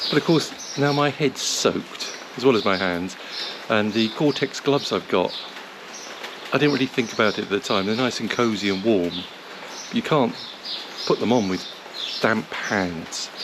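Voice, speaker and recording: Over noticeable background noise, a man speaks at a medium pitch and moderate pace with ordinary pitch variation and long, frequent pauses. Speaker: motorcycle travel vlogger. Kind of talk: travel vlog. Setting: hotel foyer, then roadside at border. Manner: hesitant, many fillers; shouting.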